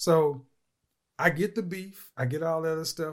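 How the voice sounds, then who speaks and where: A man with an American accent and an unremarkable speaking voice. His pitch sits fairly high and he talks at a moderate pace. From Oklahoma. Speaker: relationship coach and YouTuber. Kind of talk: casual chat.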